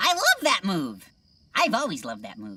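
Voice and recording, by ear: A cartoonish character voice delivers the lines at a moderate pace.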